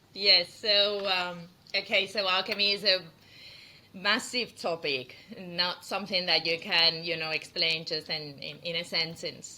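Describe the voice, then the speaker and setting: A woman with a Spanish accent speaks at a fairly low pitch, her intonation fairly even. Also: fairly slow pace. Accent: non-Australian, Spanish. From Spain. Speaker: perfumer and brand founder. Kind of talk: interview.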